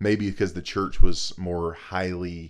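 A man with an American accent has a very deep, low pitch. He talks at a moderate pace with ordinary pitch variation. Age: 30s. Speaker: podcast co-host. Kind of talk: casual chat.

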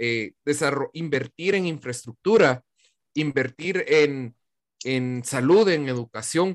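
Speaking at a fairly slow pace, a man with a fairly high pitch uses lively intonation in a dry, close sound with no echo. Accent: Guatemalan. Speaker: podcast host. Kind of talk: casual chat.

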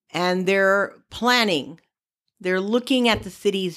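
At a fairly slow pace, a plain, everyday voice speaks with ordinary pitch variation on a very clean recording with a silent background. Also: woman. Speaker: podcast co-host. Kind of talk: casual chat.

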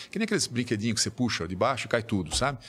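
A man with a medium-pitched voice and vocal fry talks at a very fast pace. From Brazil. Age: 60s. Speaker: business executive and author. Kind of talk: podcast interview.

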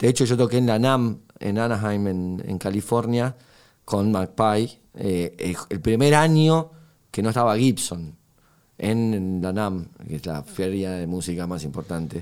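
The pace is very slow. The intonation stays lively throughout. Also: man, fairly low pitch for a man. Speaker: guitarist. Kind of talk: interview. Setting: studio. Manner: hesitant, many fillers.

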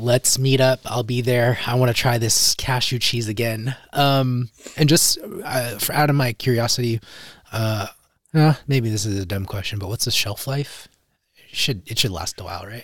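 Somewhat breathy, a man talks at a medium pitch. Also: ordinary pitch variation, moderate pace. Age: 30s. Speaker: podcast host. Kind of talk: casual interview.

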